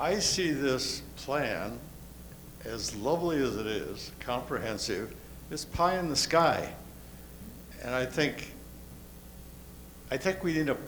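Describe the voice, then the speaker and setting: This man speaks at a very slow pace with long, frequent pauses. His fairly high voice has lively intonation, and the room echo is audible. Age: 80s+. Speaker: resident speaking at community meeting. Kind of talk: public comment at meeting.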